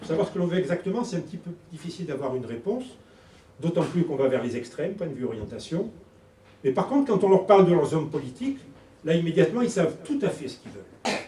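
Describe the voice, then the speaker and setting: With a high pitch, very wide pitch swings, and big swings in loudness, a man talks at a very fast pace amid audible room echo. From southern France, Toulon. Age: 60s. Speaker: politician, election candidate. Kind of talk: campaign speech at public meeting. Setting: public meeting hall with audience.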